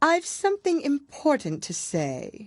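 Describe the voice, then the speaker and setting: A put-on character voice, high-pitched, at a fairly slow pace. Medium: read story. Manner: curt, contemptuous.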